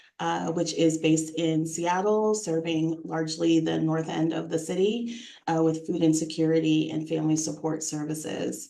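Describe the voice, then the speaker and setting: A woman with a very deep, low pitch talks at a moderate pace with hardly any pauses. Her intonation is fairly even, and room echo is audible. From US East Coast, New York. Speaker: nonprofit executive director. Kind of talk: interview. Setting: livestream video interview.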